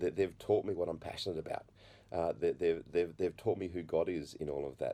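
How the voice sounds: Fairly quick and fairly even in intonation, a man speaks with a low pitch and a dark, mellow tone.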